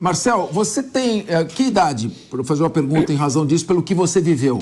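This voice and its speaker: This man talks fairly quickly in a high voice. His pitch swings very widely. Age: 60s. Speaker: TV news host. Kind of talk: news interview.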